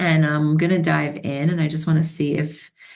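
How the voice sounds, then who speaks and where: A woman speaks with a fairly low pitch. Audible room echo surrounds her voice. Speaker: spiritual teacher and mentor. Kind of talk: livestream talk on mythology. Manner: hesitant, many fillers.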